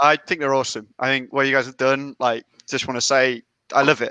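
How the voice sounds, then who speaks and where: A man with a British accent speaks very fast at a medium pitch in a bright, sharp tone. The sound is dry and close with no echo, over a quiet background. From England, Leicestershire. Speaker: company representative. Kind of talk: casual chat.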